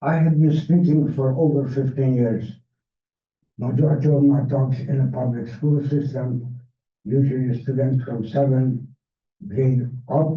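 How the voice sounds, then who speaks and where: A man speaks slowly in a flat monotone at medium pitch, somewhat breathy. Audible room echo surrounds his fairly slow delivery. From Hungary, Budapest. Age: 80s+. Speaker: Holocaust survivor speaker. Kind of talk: public talk. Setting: library event with audience.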